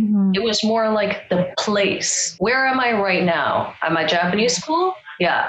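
A woman talks at a moderate pace, with noticeable background noise behind her. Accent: Canadian. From Toronto, Canada. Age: 30s. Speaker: stand-up comedian. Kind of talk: casual chat.

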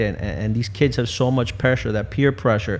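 Pitch shifts in an ordinary way here. The voice is a plain, everyday voice. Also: man. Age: 40s. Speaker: bereaved parent. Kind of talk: casual chat.

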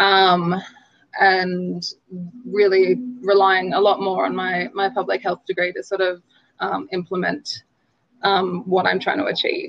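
Pausing long and often, a woman speaks at a fairly slow pace. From rural New South Wales, Australia. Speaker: public health and nursing graduate working in healthcare management. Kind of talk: interview.

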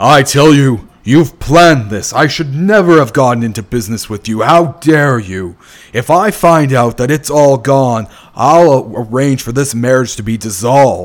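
A man puts on a character voice at medium pitch, with lively intonation. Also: moderate pace. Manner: furious, shouting.

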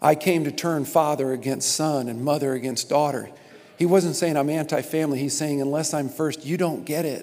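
This man talks at a fairly quick pace with a fairly high pitch. His intonation stays fairly even, and room echo is audible. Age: 50s. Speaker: pastor. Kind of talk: sermon.

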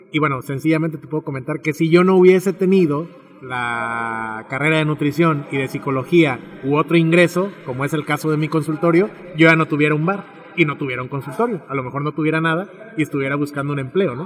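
Delivered at a very fast pace with ordinary pitch variation, the speech comes over noticeable background noise. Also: man, fairly high pitch for a man. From Mexico, Tepic, Nayarit. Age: young. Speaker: bar owner and entrepreneur, psychologist. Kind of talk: interview, casual chat. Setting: bar with background music.

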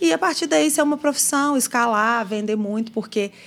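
A woman with an unremarkable speaking voice talks at a moderate pace with ordinary pitch variation, on a very clean recording with a silent background. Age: 40s. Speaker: marketing executive. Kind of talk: casual interview. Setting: studio.

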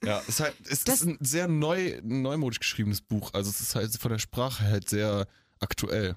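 A plain, everyday voice from a man, medium in pitch, moves at a moderate pace with lively intonation and very even loudness on a very clean recording with a silent background. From Eifel, western Germany. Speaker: podcast co-host. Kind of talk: casual chat. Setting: studio.

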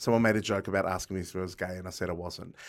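The recording is very clean with a silent background. A man speaks in an Australian accent. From Melbourne, Australia. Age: 40s. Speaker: comedian and cabaret performer. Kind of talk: casual chat.

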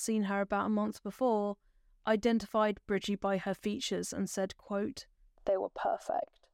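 In a normal speaking voice, a woman talks at a moderate pace and medium pitch on a very clean recording with a silent background. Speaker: true crime podcaster. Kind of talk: true-crime narration, scripted storytelling of a historical murder case. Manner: measured, solemn, sombre storyteller pace, clear and factual; gentle and caring in direct address to listeners.

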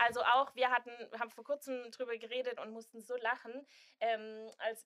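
Her high-pitched voice has a bright, sharp tone, and the woman keeps a monotone, flat intonation at a moderate pace. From Swabia, southern Germany. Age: 20s. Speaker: influencer and student, expectant mother. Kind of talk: casual chat.

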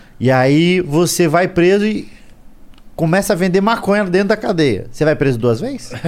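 The speaker is a man with a high-pitched voice. His intonation rises and falls in a lively way. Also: moderate pace. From southern Brazil, Curitiba area (Paraná). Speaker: stand-up comedian. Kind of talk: casual chat. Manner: animated.

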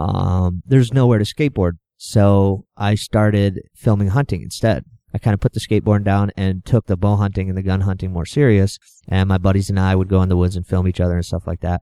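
A man with a dark, mellow tone and fairly low pitch speaks at a fairly quick pace with fairly even intonation, on a very clean recording with a silent background and a dry, close sound with no echo. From New Hampshire, US. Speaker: outdoor TV videographer. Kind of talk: casual interview. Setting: live at an outdoor trade show.

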